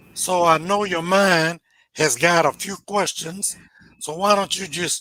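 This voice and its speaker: A high-pitched man with an American accent at a fairly slow pace, on a very clean recording with a silent background and a dry, close sound with no echo. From US South, Nashville, Tennessee. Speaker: church treasurer. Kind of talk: interview.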